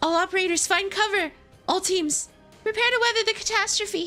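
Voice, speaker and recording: A woman's put-on character voice at an extremely high pitch, a fairly quick pace, and faint music in the background. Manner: urgent, commanding.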